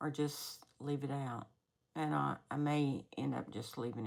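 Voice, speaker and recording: A woman speaks in a very deep, low pitch with vocal fry and ordinary pitch variation. The recording is very clean, the background silent. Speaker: cross-stitch vlogger. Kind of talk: casual show-and-tell vlog. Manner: halting, self-correcting.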